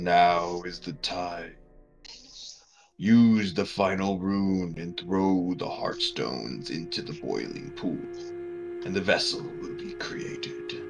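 A man's put-on character voice, very deep and low, at a fairly slow pace over faint music in the background. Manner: commanding, ominous.

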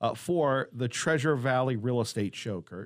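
A man talks at a moderate pace in a normal speaking voice, with a medium pitch. His intonation is lively. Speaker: radio interviewer. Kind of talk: radio interview. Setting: radio studio.

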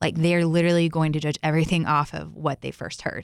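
A woman speaks in a very deep, low pitch with an American accent. The sound is dry and close, with no echo. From Texas. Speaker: guest sharing faith story. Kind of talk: testimony. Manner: confident.

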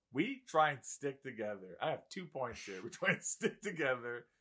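The tone is bright and sharp, with vocal fry and very wide swings in pitch. The pace is fairly slow. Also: man. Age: 20s. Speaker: factory worker. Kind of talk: casual chat.

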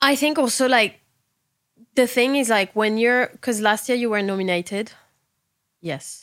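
Her voice sits at a fairly high pitch with ordinary pitch variation. The woman leaves long, frequent pauses. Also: moderate pace. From southern France. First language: French. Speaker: fashion stylist and podcast host. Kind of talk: casual chat.

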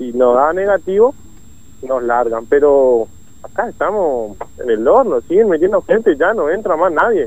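This man's voice sits fairly high, with very wide pitch swings. He talks at a fairly slow pace. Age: 20s. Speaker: COVID patient in quarantine shelter. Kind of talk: phone interview.

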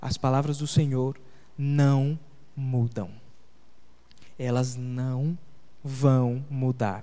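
The speech moves at a very slow pace. Long pauses break it up frequently. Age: 20s. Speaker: pastor. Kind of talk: sermon.

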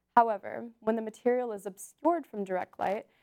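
A woman talks at a moderate pace with fairly high pitch and a normal speaking voice. The sound is dry and close, with no echo. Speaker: science news correspondent. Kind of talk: news report.

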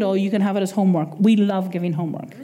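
Speaking very fast, a woman with an Irish accent has a dark, mellow tone. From Ireland. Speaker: preacher. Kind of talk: sermon. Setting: church.

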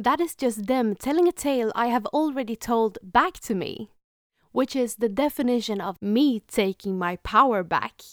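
A woman speaks in a Swedish accent with a high pitch and lively intonation. Her moderate pace comes through in a dry, close sound with no echo. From Sweden. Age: 20s. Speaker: podcaster. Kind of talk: solo podcast monologue, self-help. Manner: warm, earnest.

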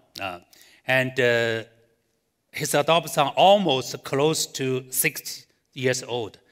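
A man with a Chinese accent at medium pitch, ordinary pitch variation, a very slow pace and long, frequent pauses. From China. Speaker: pastor. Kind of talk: sermon. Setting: church with live audience, streamed online. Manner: halting, many fillers.

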